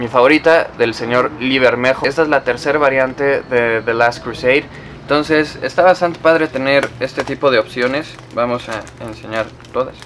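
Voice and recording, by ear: Over faint background noise, a man speaks at medium pitch and a moderate pace, with a fairly bright tone, ordinary pitch variation and few pauses.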